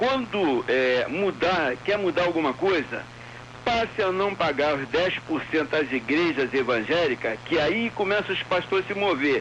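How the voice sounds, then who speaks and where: Amid noticeable background noise, a man with a high pitch speaks with lively intonation. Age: 60s. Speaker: radio caller. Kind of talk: call-in opinion. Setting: phone call.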